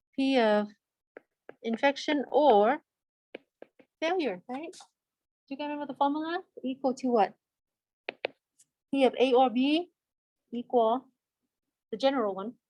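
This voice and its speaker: A woman with a high-pitched voice, a dark, mellow tone and a non-native accent speaks with ordinary pitch variation and long, frequent pauses. Her loudness swings widely, and the sound is dry and close with no echo. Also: moderate pace. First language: not English. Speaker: statistics teacher. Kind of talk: lecture. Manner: conversational, asks students questions.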